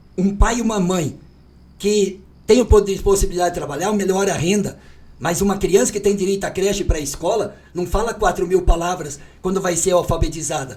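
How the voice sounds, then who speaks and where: A man's high-pitched voice at a fairly quick pace. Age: 60s. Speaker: politician. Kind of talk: campaign interview. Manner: animated.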